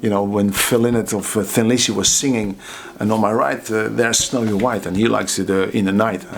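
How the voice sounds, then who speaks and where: Amid noticeable background noise, a man speaks at a fairly quick pace in a fairly low pitch with fairly even intonation. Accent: Dutch. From Netherlands, Waalwijk. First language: Dutch. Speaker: drummer and drum teacher. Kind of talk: casual storytelling. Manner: halting, many fillers and repeats.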